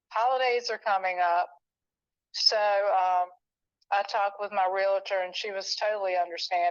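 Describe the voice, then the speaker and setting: A woman with a plain, everyday voice speaks at a moderate pace in a medium pitch and fairly even intonation. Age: 60s. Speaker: home seller. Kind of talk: casual chat. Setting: phone call.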